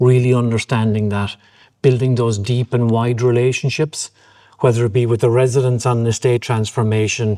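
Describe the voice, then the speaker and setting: In a Cork accent, a man speaks at a moderate pace with a medium-pitched, dark, mellow tone and monotone, flat intonation. The recording is very clean, with a silent background. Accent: Irish (Cork). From Ireland, Cork. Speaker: property developer chairman. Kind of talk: interview.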